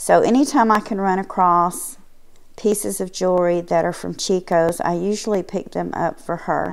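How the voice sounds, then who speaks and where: A woman's voice with lively intonation at a moderate pace. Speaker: thrift haul vlogger. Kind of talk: casual vlog chat. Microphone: phone near.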